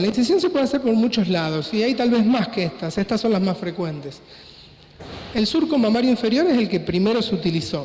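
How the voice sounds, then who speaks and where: Amid noticeable background noise and audible room echo, a man talks in a high voice with very wide pitch swings. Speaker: plastic surgeon / doctor. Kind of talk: conference lecture. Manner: fast.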